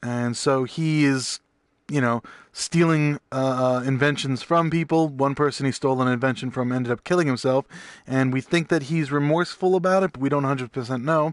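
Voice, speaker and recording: Against a quiet background, a man talks at a fairly quick pace with fairly high pitch. His intonation stays fairly even, and the sound is dry and close, with no echo. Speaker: video game streamer. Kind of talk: gameplay commentary. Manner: fast.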